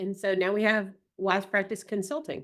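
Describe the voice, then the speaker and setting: A woman talks at a moderate pace in a Southern US accent. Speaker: group practice owner and consultant. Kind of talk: casual interview chat. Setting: podcast recording.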